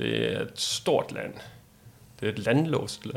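Vocal fry runs through this man's very slow delivery. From Denmark. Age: 40s. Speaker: world traveller. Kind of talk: interview.

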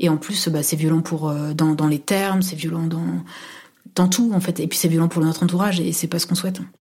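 A woman's fairly low, dark, mellow voice, somewhat breathy, at a fairly quick pace with fairly even intonation. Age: 30s. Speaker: university administrator. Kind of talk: personal testimony. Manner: halting, many fillers.

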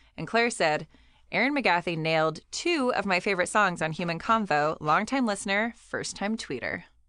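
A woman with a Californian accent, bright and sharp in tone, lively in intonation, at a moderate pace against a quiet background. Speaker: podcast co-host. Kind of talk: casual chat. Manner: halting, many fillers.

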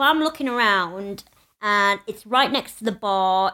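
Loud and lively in intonation, a woman with a medium pitch and a northern English accent speaks in a bright, sharp tone on a very clean recording with a silent background. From northern England. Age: 30s. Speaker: podcast co-host, former teacher. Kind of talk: casual chat. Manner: animated.

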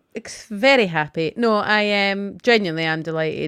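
Using an ordinary speaking voice, a woman speaks at medium pitch and a fairly slow pace. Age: 30s. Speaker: podcast co-host. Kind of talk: casual chat.

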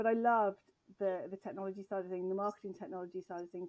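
At a very fast pace, a woman with an English accent speaks in a dark, mellow tone with ordinary pitch variation. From grew up abroad as a forces child, English. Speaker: tech executive. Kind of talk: interview.

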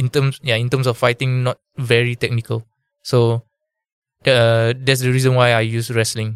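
Dry and close with no echo, a man's medium-pitched voice moves at a moderate pace in a monotone, flat intonation. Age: 20s. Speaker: amateur MMA fighter. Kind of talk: interview.

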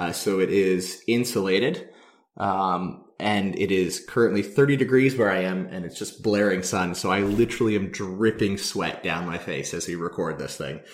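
At a moderate pace, a man talks in an ordinary speaking voice, fairly low in pitch with ordinary pitch variation. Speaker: podcast host. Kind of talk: casual chat. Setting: outdoors on a mountain, remote call.

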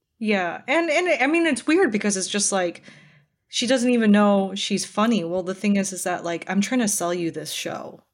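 In a plain, everyday voice, a woman speaks at a medium pitch with lively intonation over a quiet background. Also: moderate pace. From Minnesota, US. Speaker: comedian. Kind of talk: casual chat.

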